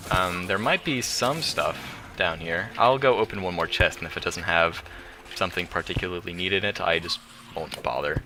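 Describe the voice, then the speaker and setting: Music plays in the background. A man speaks in a very deep, low voice. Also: ordinary pitch variation. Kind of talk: let's play commentary. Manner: fast.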